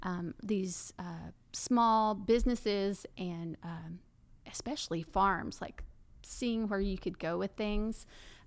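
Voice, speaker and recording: With an East Texas accent, a woman talks at a fairly slow pace with ordinary pitch variation, on a very clean recording with a silent background. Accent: East Texas Southern. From Texas, Paris. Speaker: farmer and workshop teacher. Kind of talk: casual interview.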